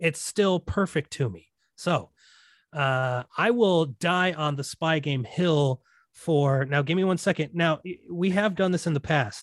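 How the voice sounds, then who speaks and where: On a very clean recording with a silent background, a man talks at a fairly slow pace with a fairly high pitch and ordinary pitch variation. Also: dry, close sound with no echo. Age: 30s. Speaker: film podcast host. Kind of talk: casual chat. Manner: animated.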